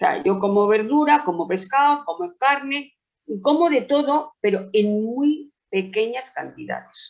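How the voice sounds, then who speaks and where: A woman speaks at a fairly slow pace in a high pitch. Her voice makes very wide pitch swings. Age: 70s. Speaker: patient with COPD. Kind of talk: webinar question. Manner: halting.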